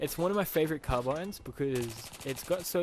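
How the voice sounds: A man talks at a fairly quick pace with lively intonation. His voice is fairly high-pitched with a slightly mellow tone.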